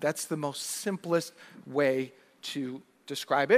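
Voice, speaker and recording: This man has an ordinary speaking voice, talking at a fairly slow pace with ordinary pitch variation in a dry, close sound with no echo. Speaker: minister. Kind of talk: church sermon. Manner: welcoming, explanatory.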